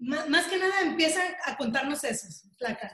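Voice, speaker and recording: A woman's voice with ordinary pitch variation. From Mexico. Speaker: video interviewer, breast cancer survivor. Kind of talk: casual interview.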